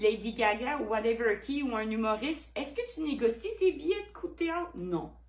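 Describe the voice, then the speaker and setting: In a Quebec accent, a woman talks at a moderate pace with a high pitch and an animated tone. Her pitch swings very widely, and there is noticeable background noise. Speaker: painter. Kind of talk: vlog monologue.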